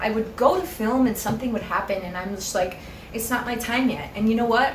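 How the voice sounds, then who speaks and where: Noticeable background noise runs through the clip. Room echo is audible. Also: woman. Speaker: spiritual YouTuber. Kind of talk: casual vlog monologue. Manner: animated, passionate.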